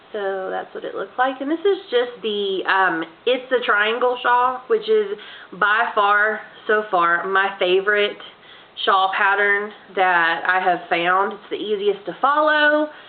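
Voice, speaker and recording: A woman talks at a fairly slow pace while noticeable background noise plays behind her. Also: medium pitch for a woman, ordinary pitch variation. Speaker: crochet hobbyist. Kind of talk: casual talk to camera.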